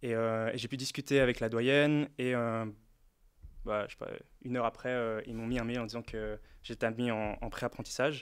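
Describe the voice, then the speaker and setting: In a very clean recording with a silent background, a man at medium pitch talks at a moderate pace in a monotone, flat intonation, leaving long, frequent pauses. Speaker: former apprentice, design student. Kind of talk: casual chat.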